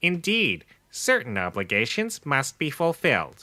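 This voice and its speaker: A man performs a put-on character voice, fairly high in pitch, with very wide swings up and down. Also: moderate pace. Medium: audio drama. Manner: formal, awkward.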